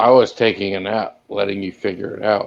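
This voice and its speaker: A man's raspy, put-on character voice at a fairly low pitch and fairly quick pace. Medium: actual play. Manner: relaxed, dry.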